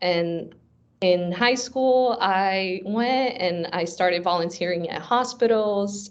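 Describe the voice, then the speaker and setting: Speaking very slowly, a woman keeps a medium pitch that varies in an ordinary way. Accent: Portuguese. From Brazil, raised in South Florida from age 9. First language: Portuguese. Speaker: software engineer and coding instructor. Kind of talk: interview conversation.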